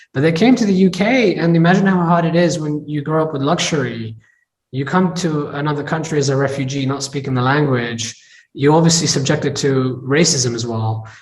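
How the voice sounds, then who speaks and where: Somewhat breathy and fairly high, a man's voice with an American accent moves at a fairly quick pace with ordinary pitch variation. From England. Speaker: tech entrepreneur and investor. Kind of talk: interview.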